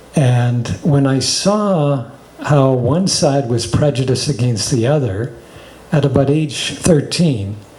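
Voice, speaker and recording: A man speaks at a very slow pace. Audible echo from the room surrounds his voice. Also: medium pitch for a man, ordinary pitch variation. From Canada, Toronto. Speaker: spiritual teacher. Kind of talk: casual chat.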